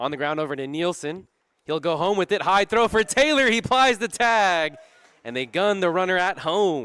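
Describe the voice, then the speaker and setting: A man's excited, energetic voice, raised and projected, with very wide pitch swings and a dry, close sound with no echo. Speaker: sports broadcaster. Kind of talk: baseball play-by-play commentary.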